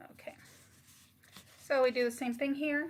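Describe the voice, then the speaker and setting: A soft-spoken woman talks at a moderate pace with fairly even intonation over noticeable background noise. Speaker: craft YouTuber. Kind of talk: tutorial. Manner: halting.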